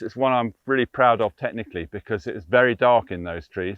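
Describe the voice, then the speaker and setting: Talking very fast with an English accent, a man uses lively intonation at a medium pitch. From England. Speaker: sports photographer. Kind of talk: casual chat. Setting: outdoors. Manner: animated.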